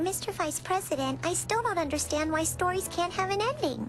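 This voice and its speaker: Over loud music, a woman uses a squeaky, put-on character voice at a fairly quick pace, keeping her loudness very even. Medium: cartoon. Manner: polite, inquisitive.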